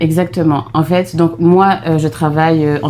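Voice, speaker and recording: Speaking at a moderate pace, a woman has a very deep, low pitch and fairly even intonation. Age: 30s. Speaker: vlogger, mother. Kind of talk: casual chat.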